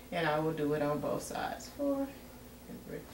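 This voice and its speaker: Room echo is audible around a woman's voice. She speaks at a moderate pace. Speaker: nursing student demonstrating assessment. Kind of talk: demonstration tutorial. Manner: halting.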